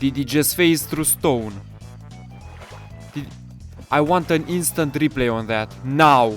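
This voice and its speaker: A man speaks at a very slow pace, with long, frequent pauses. His pitch is medium, its variation ordinary, and music plays in the background. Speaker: gaming YouTuber. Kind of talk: excited gameplay commentary. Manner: loud, excitable.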